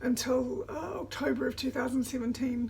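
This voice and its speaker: A woman with a New Zealand accent speaks at a fairly slow pace over noticeable background noise. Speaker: vlogger. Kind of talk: casual vlog talk. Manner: halting, many fillers.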